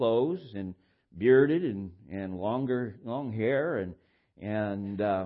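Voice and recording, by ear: A man speaks at a slow pace with ordinary pitch variation.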